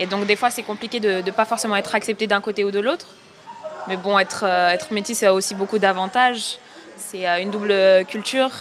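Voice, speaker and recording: Noticeable background noise sits behind a woman speaking at a fairly quick pace. Her intonation is fairly even. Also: medium pitch for a woman. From Senegal until four, then raised in France. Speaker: TikTok creator. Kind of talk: interview. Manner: hesitant, many fillers.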